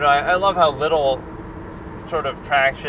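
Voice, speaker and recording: Amid noticeable background noise, a man talks at a fairly quick pace and a fairly high pitch. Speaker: movie and TV reviewer. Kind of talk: casual monologue. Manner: monotone.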